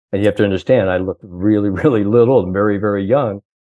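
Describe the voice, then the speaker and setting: Speaking in a plain, everyday voice with an American accent, a man keeps a fairly low pitch and fairly even intonation. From Indiana, US Midwest. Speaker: sports psychologist. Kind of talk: interview, storytelling.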